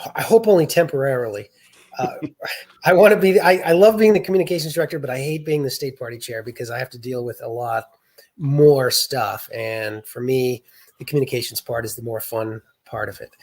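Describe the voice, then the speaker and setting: At a fairly quick pace, a somewhat breathy man with a Boston accent speaks in a fairly high pitch with lively intonation and big swings in loudness. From US Northeast, south of Boston, Massachusetts. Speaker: state party chair and writer. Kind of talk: interview.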